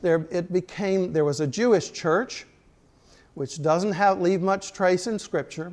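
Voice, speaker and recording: Speaking at a fairly slow pace, a man with a high voice uses ordinary pitch variation on a very clean recording with a silent background. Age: 60s. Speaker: Episcopal priest teaching adult class. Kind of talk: lecture. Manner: halting; animated.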